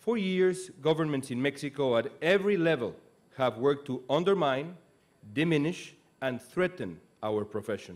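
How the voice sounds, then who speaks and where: At a moderate pace, a man speaks with lively intonation. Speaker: speaker, news anchor. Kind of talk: commencement speech. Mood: earnest, serious. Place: stage. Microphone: podium.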